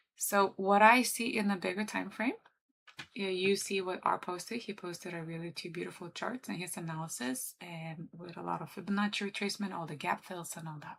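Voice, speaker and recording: This woman has a medium pitch with ordinary pitch variation and speaks with a Lithuanian accent. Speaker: trader and livestreamer. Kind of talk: live trading commentary. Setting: livestream. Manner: casual, chatty.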